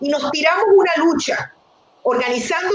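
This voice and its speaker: Lively intonation from a woman, noticeable background noise underneath. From Venezuela. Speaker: nonprofit executive director, physician. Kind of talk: interview conversation.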